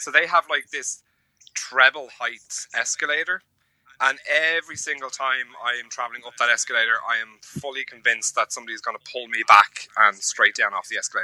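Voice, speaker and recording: Speaking fairly quickly with an Irish accent, a man swings widely in loudness, and the sound is dry and close with no echo. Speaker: podcast co-host. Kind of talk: casual chat.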